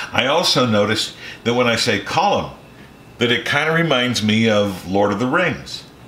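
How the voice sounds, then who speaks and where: A man with an American accent speaks at medium pitch and a moderate pace with lively intonation, amid noticeable background noise and audible room echo. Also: long, frequent pauses, very even loudness. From Eastern Ohio. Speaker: home cook, former radio broadcaster. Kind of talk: cooking tutorial. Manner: casual, relaxed.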